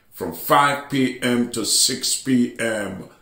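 Room echo is audible as a man speaks against a quiet background. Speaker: church bishop preacher. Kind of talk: sermon announcements.

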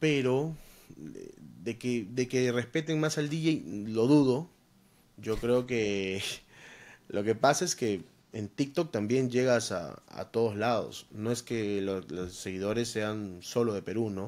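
This man speaks at a very slow pace. His intonation is lively. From Peru. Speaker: DJ and content creator; podcast guest. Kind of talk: casual interview. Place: home room. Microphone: studio mic.

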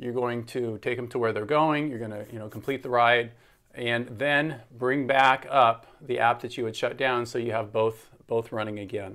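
Against a quiet background, a man is speaking. His pace is moderate. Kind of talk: tutorial. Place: home room. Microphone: phone near.

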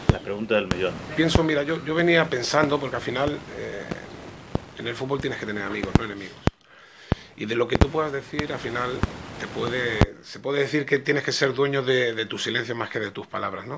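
A man talks fairly quickly with ordinary pitch variation. Loud background noise runs underneath. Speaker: football coach. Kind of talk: interview answer. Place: office. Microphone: podium.

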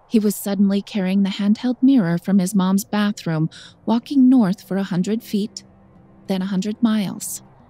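Music plays in the background as a woman speaks at a moderate pace. Her pitch is medium and her intonation fairly even. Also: dry, close sound with no echo. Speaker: drama teacher. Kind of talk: audiobook narration. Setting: studio.

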